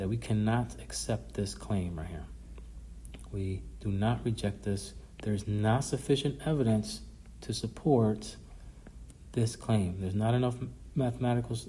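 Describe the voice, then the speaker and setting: At a moderate pace, a man speaks with long, frequent pauses and audible room echo. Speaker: statistics professor. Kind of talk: recorded lecture review.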